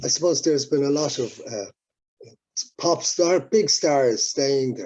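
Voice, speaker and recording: Speaking with an Irish accent, a man uses lively intonation at a fairly slow pace, his fairly high-pitched voice carrying a dark, mellow tone. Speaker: musician. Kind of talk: interview. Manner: halting.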